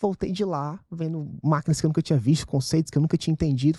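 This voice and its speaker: Speaking at a very fast pace in a Ceará accent, a man with a fairly high pitch and a dark, mellow tone comes through in a dry, close sound with no echo. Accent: Ceará (northeastern Brazilian). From Ceará, northeastern Brazil. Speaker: venture capital investor, fund partner. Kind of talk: podcast interview.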